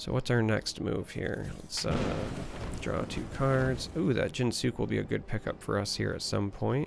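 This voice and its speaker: With music in the background, a man in an American accent talks at a moderate pace. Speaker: gaming YouTuber. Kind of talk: gameplay commentary. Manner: casual, with filler hesitations.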